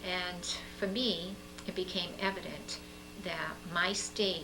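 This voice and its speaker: Audible room echo and noticeable background noise surround a woman as she talks. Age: 60s. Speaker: political candidate. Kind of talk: interview.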